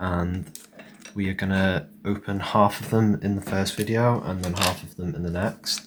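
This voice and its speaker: Soft-spoken and with an English accent, a man talks in a very deep, low pitch with fairly even intonation. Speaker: card collector. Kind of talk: relaxing card-opening commentary.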